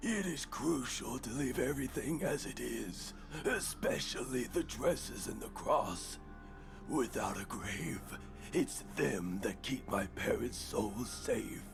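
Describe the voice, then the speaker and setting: A man speaks quietly and fairly slowly in a put-on character voice. Loud background noise sits behind him. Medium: video game. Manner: calm, quiet.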